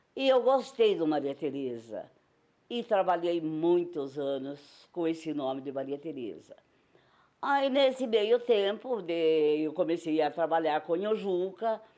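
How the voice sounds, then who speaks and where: A woman speaks at a very slow pace with a fairly low pitch and a dark, mellow tone. Her pitch swings very widely against a quiet background. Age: old. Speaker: retired circus-theatre actress and singer. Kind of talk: interview testimony.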